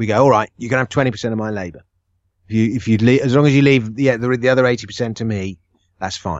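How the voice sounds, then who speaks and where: A man at medium pitch speaking at a very fast pace. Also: fairly even intonation. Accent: English. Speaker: author. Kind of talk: casual chat.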